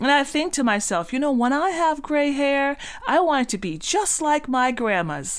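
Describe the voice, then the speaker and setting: Over noticeable background noise, a woman speaks at a moderate pace with a high pitch. Her tone is animated and her intonation lively. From Bahamas (Cat Island). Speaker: self-help speaker and podcast host. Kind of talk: motivational talk.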